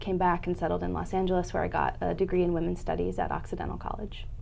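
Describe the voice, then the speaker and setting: Audible room echo surrounds a woman's voice. She talks very fast with hardly any pauses. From US Midwest (Indianapolis, Cleveland). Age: 30s. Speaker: nonprofit public affairs director. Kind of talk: interview.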